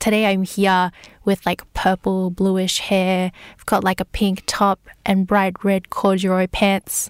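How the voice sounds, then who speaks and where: A woman speaks at a very slow pace and a medium pitch, her intonation monotone and flat, with big swings in loudness. The recording is very clean with a silent background, dry and close with no echo. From Singapore. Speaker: person with lived experience of mental illness. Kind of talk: personal testimony.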